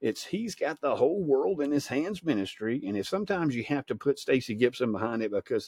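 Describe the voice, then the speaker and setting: Speaking at a very fast pace with a Southern US accent, a man uses ordinary pitch variation in a dry, close recording with no echo and a quiet background. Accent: Southern US (Georgia). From US state of Georgia. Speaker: evangelist podcast host. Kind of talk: informal sermon. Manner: halting, many fillers and repeats.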